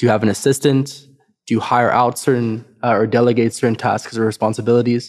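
Delivered at a very fast pace, the speech has a monotone, flat intonation. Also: man, medium pitch for a man. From South Africa. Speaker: podcast host. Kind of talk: interview.

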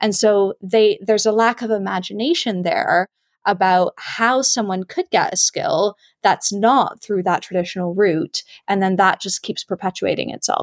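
A plain, everyday voice with a Canadian accent moves at a moderate pace with ordinary pitch variation. The recording is very clean, with a silent background and a dry, close sound with no echo. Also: woman. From Canada. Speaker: museum labor campaigner. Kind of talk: casual chat.

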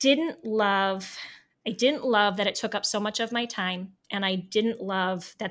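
This woman has a normal speaking voice at medium pitch, with an American accent and ordinary pitch variation, captured in a very clean recording with a silent background. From US Midwest, Northeast Ohio. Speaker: former teacher. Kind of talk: interview.

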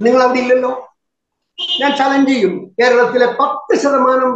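A man with an extremely high pitch talks amid audible room echo. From Kerala, Wayanad. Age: 70s. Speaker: farmers' union leader and activist. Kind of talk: interview.

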